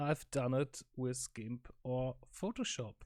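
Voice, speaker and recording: The speaker is a man. He has a German accent. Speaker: electronics hobbyist. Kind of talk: casual talk to camera, technical explanation. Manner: hesitant, many filler sounds.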